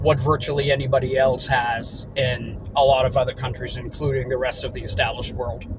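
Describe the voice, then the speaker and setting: With audible room echo and noticeable background noise, a man talks fairly quickly at a medium pitch in monotone, flat intonation. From Germany. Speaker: business owner. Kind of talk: casual vlog monologue. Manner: halting, with repetitions.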